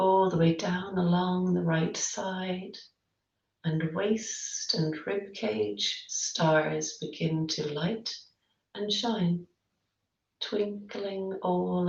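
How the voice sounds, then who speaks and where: A woman speaks very slowly at a fairly low pitch. She sounds somewhat breathy, with ordinary pitch variation. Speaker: yoga nidra guide. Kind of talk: yoga nidra body-scan guidance. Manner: slow, soft-spoken, gently paced.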